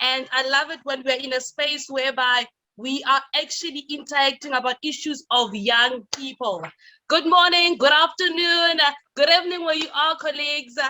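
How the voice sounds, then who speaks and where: In a raised, projected voice, a woman speaks at a moderate pace with a high pitch and a bright, sharp tone. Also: ordinary pitch variation. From South Africa. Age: young. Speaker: youth leader and radio personality. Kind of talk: conference presentation. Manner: loud; energetic.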